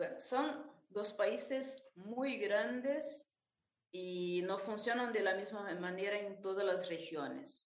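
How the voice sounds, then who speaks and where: A woman talks at a very slow pace, with audible room echo around her voice. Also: medium pitch for a woman, lively intonation. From Brazil, interior of São Paulo state. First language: Portuguese (speaking Spanish). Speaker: choir director and arranger. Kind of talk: interview.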